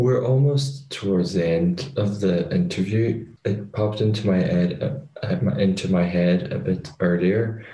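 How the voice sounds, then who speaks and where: A man with an Irish accent speaks at a fairly slow pace with hardly any pauses, in a fairly low, dark, mellow voice. He is somewhat breathy, with lively intonation and very even loudness. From Ireland. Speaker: podcast host. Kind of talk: casual interview.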